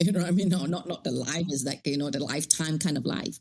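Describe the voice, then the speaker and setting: A woman with a fairly low pitch speaks in an animated tone. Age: 60s. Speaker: life coach. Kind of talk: interview conversation.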